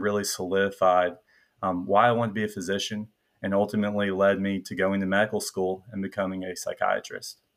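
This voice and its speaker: Talking at a fairly quick pace, a man with a slight Southern US accent has a fairly low pitch. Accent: slight Southern US twang. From Middle Tennessee. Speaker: medical student, incoming psychiatry resident. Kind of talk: casual interview chat.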